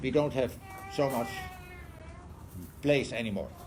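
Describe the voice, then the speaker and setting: A man with lively intonation and vocal fry. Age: 70s. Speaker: adoption researcher, professor. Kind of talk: lecture to an audience.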